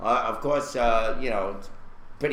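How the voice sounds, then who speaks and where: A man in a Brooklyn accent at a moderate pace, with ordinary pitch variation and audible room echo. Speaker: online talk show host. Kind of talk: casual chat. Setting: live video stream.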